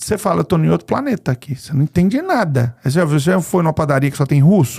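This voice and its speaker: A somewhat breathy voice at a fairly quick pace, with very wide pitch swings. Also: man. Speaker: podcast host. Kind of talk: podcast interview. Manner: casual, conversational.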